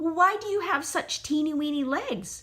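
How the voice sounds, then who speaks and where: A woman's put-on character voice, squeaky and extremely high in pitch, at a moderate pace. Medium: read story. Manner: quiet, nervous.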